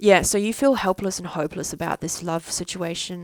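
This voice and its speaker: A woman speaks with a fairly low pitch and ordinary pitch variation. The recording is very clean with a silent background and a dry, close sound with no echo. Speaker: psychic card reader. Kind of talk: recorded tarot reading. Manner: halting, slow.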